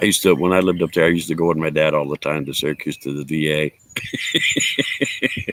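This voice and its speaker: A man speaks with an American accent at a moderate pace. Noticeable background noise runs behind him. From upstate New York, Cortland. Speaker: livestreamer. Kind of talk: casual livestream chat.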